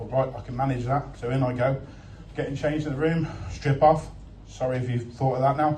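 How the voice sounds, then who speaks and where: The speech moves at a fairly quick pace. Noticeable background noise and audible room echo surround it. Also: man. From Worcester, West Midlands England. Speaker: comedian. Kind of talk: stand-up. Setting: stage with audience. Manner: animated.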